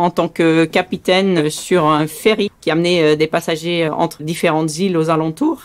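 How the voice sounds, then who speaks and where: Here a woman is talking. She keeps a moderate pace. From Saint-Martin, Caribbean (Belgian parents). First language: Dutch (speaking French). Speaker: sea rescue boat skipper. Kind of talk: testimony. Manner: hesitant with frequent fillers.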